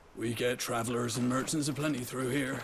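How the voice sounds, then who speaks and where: A man's raspy, put-on character voice at medium pitch, monotone and flat, at a fairly quick pace over clear background noise. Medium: video game.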